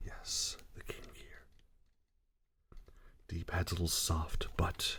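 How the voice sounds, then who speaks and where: A man whispers at a very slow pace. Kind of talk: ASMR controller sound demo. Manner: soft-spoken.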